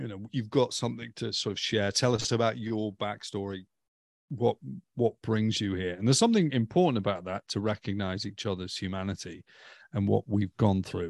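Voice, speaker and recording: In a Stoke accent, a man talks at a fairly quick pace and fairly low pitch with ordinary variation, the sound dry and close with no echo and the background quiet. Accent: English Midlands (Stoke). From England, Stoke-on-Trent. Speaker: ministry development director. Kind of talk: casual chat.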